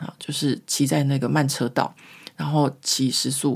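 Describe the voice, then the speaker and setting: A woman speaks at a moderate pace in a very deep, low, somewhat breathy voice. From Taiwan. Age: 40s. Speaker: podcast host. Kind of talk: casual storytelling monologue. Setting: home recording.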